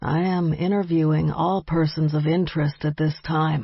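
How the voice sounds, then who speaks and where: This put-on character voice runs at a moderate pace with monotone, flat intonation. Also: woman, very deep, low pitch for a woman. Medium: read story. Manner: blunt, businesslike.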